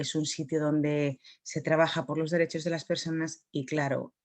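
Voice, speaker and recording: At a moderate pace, a woman speaks with a very deep, low pitch and a monotone, flat intonation. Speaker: psychologist giving a conference talk. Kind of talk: conference talk. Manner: soft-spoken.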